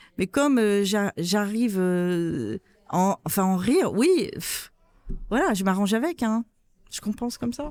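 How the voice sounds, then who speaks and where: Long, frequent pauses mark a woman's fairly slow speech at medium pitch with lively intonation. The recording is very clean, with a silent background. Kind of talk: interview. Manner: loud; interrupts often.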